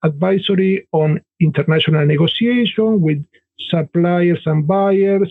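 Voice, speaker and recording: A man with an Argentine accent speaks in a high voice for a man, his intonation fairly even. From Argentina. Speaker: business consultant and author. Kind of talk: podcast interview.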